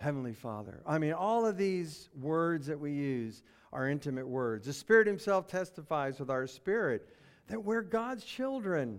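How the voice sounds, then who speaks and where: A fairly high-pitched man's voice with very wide pitch swings in a very clean recording with a silent background. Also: moderate pace. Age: 70s. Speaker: pastor. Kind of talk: sermon.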